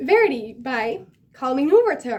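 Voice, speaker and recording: A woman speaks with a Dutch accent. Her pitch is high. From Netherlands. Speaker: book vlogger. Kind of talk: casual talk to camera.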